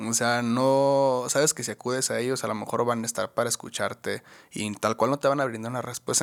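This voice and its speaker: In a very clean recording with a silent background, a man speaks in an ordinary speaking voice at a medium pitch, moving at a fairly quick pace with hardly any pauses. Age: 20s. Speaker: podcast co-host. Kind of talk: casual chat.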